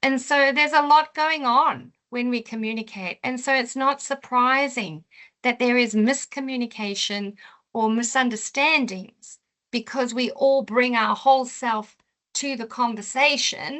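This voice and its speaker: At a fairly slow pace, a woman talks in a high voice with ordinary pitch variation. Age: 50s. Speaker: psychotherapist and coach. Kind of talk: webinar presentation. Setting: online webinar.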